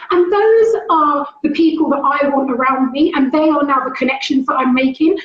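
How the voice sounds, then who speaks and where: A woman with a London accent talks at a fairly quick pace. Her pitch varies in an ordinary way. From London, England. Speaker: school leader. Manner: fast; loud.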